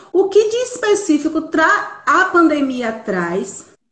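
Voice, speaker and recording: A woman speaks with very wide pitch swings. Her tone is bright and sharp. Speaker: psychologist. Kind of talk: live stream talk.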